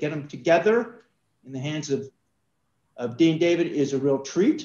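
The speaker has an American accent and a moderate pace. Audible room echo surrounds the voice. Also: man. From New York. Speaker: alumnus supporter and event convener; event host. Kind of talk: event introduction. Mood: warm, cheerful. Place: office. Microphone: video call.

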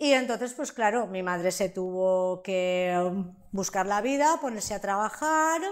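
Lively intonation comes at a fairly slow pace over a quiet background. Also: woman. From Valencia region, Spain (Sueca). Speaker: interviewee sharing life story. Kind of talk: interview testimony. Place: studio. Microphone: lapel.

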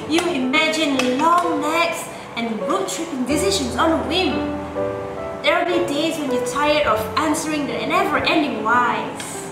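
Against clear background music and audible room echo, a woman talks at a moderate pace. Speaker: spoken word poet. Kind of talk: spoken word poetry. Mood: warm, heartfelt. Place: home room.

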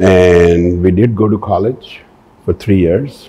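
A man's very deep, low voice, very slow and somewhat breathy, with a dark, mellow tone and fairly even intonation. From Pakistan. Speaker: business executive. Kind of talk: interview. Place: office.

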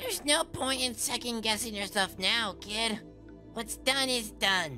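Over clear background music, a female-sounding voice does a put-on character voice, fairly high-pitched and at a fairly slow pace.

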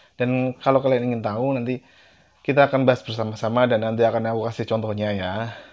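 Against a quiet background, a man talks at a very fast pace and medium pitch with monotone, flat intonation. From Central Java, Indonesia. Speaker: YouTuber. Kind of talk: casual vlog talk to camera. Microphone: lapel.

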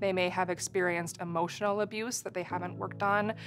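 A woman with fairly even intonation over clear background music. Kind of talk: interview answer. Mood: calm, serious. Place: studio.

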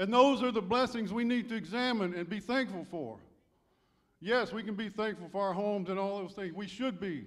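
A man speaks in a high pitch with ordinary pitch variation. The background is quiet. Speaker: church elder preaching. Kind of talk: sermon. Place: church. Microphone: handheld.

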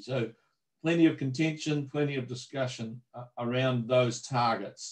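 Over a quiet background, a man with a New Zealand accent speaks at a medium pitch, sounding somewhat breathy. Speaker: agricultural research manager. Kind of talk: webinar presentation. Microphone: video call.

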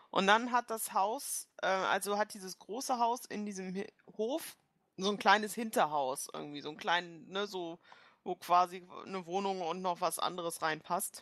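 In a very clean recording with a silent background, a woman with a plain, everyday voice speaks at a fairly slow pace. Her medium pitch shows ordinary variation, while her loudness swings widely. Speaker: player in tabletop role-playing game. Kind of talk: casual banter during a tabletop role-playing session.

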